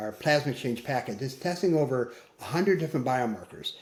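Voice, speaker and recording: An unremarkable speaking voice with an American accent and ordinary pitch variation. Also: man. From US Midwest, Michigan. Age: 60s. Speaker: physician. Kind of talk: interview.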